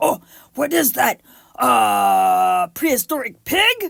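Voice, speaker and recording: A put-on character voice at a very slow pace, on a very clean recording with a silent background. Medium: read story. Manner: broken caveman speech.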